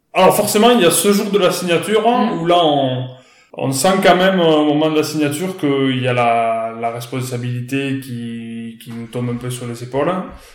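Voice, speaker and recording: Over noticeable background noise and audible room echo, a fairly high-pitched man talks at a moderate pace with lively intonation and big swings in loudness. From France, northern Aveyron. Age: 30s. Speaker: cattle farmer. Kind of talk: interview. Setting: outdoors. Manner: hesitant, many fillers.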